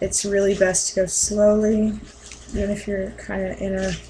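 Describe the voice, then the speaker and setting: A woman speaks quietly in a monotone, flat intonation. Noticeable background noise is present. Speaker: mask-making hobbyist vlogger. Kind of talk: tutorial. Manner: hesitant, many fillers.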